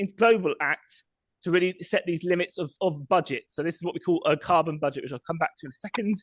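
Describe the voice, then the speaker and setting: The sound is dry and close with no echo. The pace is fairly quick. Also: man. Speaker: sustainable mobility researcher. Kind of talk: presentation with slides. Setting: public meeting. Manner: fast.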